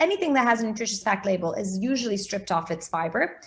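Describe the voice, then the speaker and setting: With an American accent, a woman speaks at a fairly high pitch, somewhat breathy, with lively intonation. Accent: sounds American. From Portugal, international schooling. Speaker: food blogger, recipe website founder. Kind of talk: interview.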